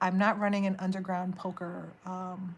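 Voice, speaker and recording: An American accent comes through. There is also a somewhat breathy quality. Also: woman. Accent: noticeable accent per viewer. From New York City. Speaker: tarot reader. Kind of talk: live stream chat. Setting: live stream. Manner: animated.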